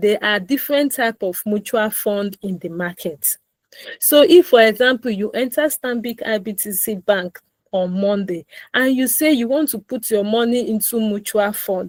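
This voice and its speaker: A woman speaks at a fairly slow pace in an unremarkable speaking voice. Her pitch is fairly high, with ordinary variation. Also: dry, close sound with no echo. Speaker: personal finance educator. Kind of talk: live online finance class. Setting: online call.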